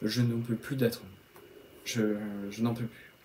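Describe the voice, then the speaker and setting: Medium in pitch, a man speaks at a moderate pace. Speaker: YouTube film reviewer. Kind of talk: video reaction monologue. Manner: halting, many fillers.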